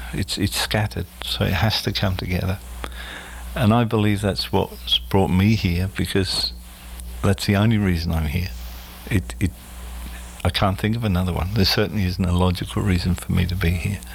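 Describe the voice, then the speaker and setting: In an Australian accent, a man with a very deep, low pitch talks at a moderate pace with lively intonation and long, frequent pauses, over noticeable background noise. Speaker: spiritual medium. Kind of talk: casual interview. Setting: studio.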